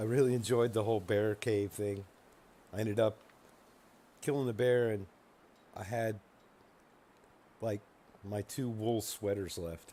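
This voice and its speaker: Long, frequent pauses break up a man's fairly slow speech, his fairly low pitch carrying a dark, mellow tone and fairly even intonation. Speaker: video game streamer. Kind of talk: gameplay commentary. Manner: soft-spoken; hesitant, many fillers.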